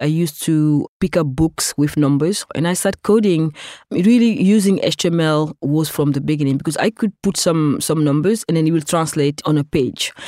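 A woman with a very deep, low pitch and a dark, mellow tone speaks at a moderate pace with ordinary pitch variation and very even loudness. The sound is dry and close with no echo, in a very clean recording with a silent background. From Senegal. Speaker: technologist and activist. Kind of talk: interview.

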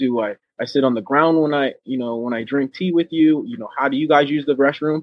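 This man has a fairly high pitch, lively intonation and an American accent. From Oceanside, California. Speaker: marine veteran and rapper. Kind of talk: casual interview chat.

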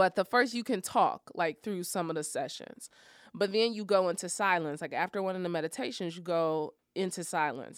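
A woman talks at a moderate pace in an unremarkable speaking voice, medium in pitch with lively intonation. The recording is very clean, with a silent background. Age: 30s. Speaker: motivational speaker and fitness coach. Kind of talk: casual interview.

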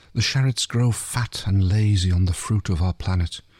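The plain reading aloud moves up and down in pitch the usual amount.

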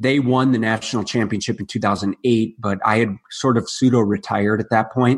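A man with an American accent, medium-pitched and monotone, at a fairly quick pace with hardly any pauses. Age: 30s. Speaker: nutritionist and rugby player. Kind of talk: casual interview.

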